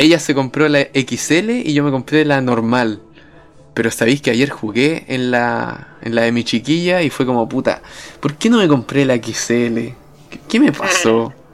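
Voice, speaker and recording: Noticeable background noise sits under a man's voice. He has a Chilean accent and medium pitch with ordinary pitch variation. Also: fairly slow pace. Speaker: podcast co-host. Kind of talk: casual chat.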